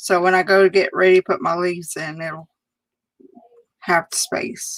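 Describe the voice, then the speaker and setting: The recording is dry and close, with no echo. A woman speaks with fairly even intonation. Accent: Southern US. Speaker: crafter demonstrating card making. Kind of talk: live stream crafting tutorial. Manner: casual, chatty.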